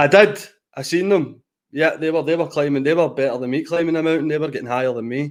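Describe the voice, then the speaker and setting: A man talks very fast with a Glaswegian accent. His pitch is fairly high, with ordinary variation. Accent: Glaswegian Scottish. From Glasgow, east end. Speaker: speed-dating contestant. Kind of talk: casual chat.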